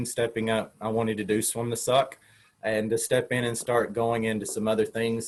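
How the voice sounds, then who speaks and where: A man in a Southern US accent talks at a medium pitch and a fairly quick pace. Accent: Southern US, hillbilly. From Tennessee. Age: 40s. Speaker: open water marathon swimmer. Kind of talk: interview answer. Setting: online video call. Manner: casual, conversational.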